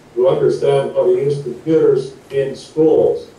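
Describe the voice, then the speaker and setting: A speaker with an American accent talks at a fairly slow pace, with audible room echo and noticeable background noise. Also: man. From US Midwest, Wisconsin. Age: 60s. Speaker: retired teacher and guidance counselor. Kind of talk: interview talk, paused for interpreter.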